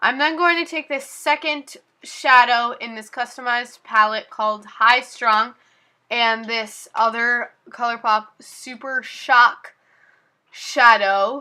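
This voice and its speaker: A high-pitched woman's voice, bright and sharp in tone, very slow, with ordinary pitch variation. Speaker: beauty vlogger. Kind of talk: tutorial voiceover. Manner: casual, many fillers.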